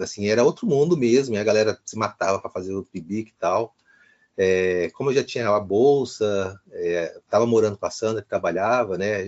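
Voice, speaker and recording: A plain, everyday voice from a man, fairly low in pitch. He keeps a moderate pace, and his pitch varies in an ordinary way. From Brasília, Brazil. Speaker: historian and professor. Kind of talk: interview.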